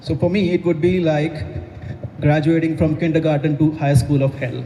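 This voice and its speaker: There is noticeable background noise and audible room echo. A man speaks at a moderate pace. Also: fairly high pitch for a man, fairly even intonation. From India. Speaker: stand-up comedian. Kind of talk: stand-up. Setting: stage with audience in a coffee house.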